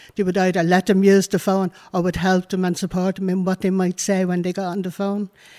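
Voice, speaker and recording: In a Dublin accent, a woman at medium pitch talks at a fairly quick pace with hardly any pauses and monotone, flat intonation, in a dry, close sound with no echo on a very clean recording with a silent background. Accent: Dublin Irish. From Ireland. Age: 60s. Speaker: community activist. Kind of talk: interview testimony. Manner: talkative.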